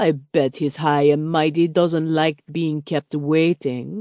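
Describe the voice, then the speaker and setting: A woman puts on a character voice that is gruff and very deep, low in pitch. She goes at a fairly slow pace with fairly even intonation, in a dry, close sound with no echo. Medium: read story. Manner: gruff, growling.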